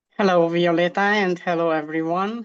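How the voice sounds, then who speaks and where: Against a quiet background, the speaker uses fairly even intonation with a Romanian accent. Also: woman. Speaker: hypnosis practitioner in training. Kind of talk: interview. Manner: halting, many fillers.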